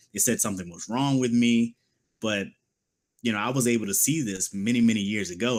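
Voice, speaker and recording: A man with an unremarkable speaking voice talks at medium pitch with ordinary pitch variation. The recording is very clean, with a silent background. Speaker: political commentary show host. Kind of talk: political commentary monologue.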